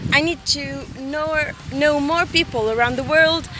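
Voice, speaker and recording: A woman with a high pitch speaks in a raised, projected voice at a fairly slow pace. Her pitch varies in an ordinary way, with noticeable background noise behind her. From Tunisia. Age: 20s. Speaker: student. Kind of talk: self-introduction video. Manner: halting.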